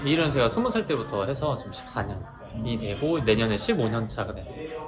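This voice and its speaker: Lively intonation marks this man's medium-pitched voice at a fairly quick pace. Music plays in the background, and there is audible room echo. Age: 30s. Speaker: gym owner and personal trainer. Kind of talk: interview.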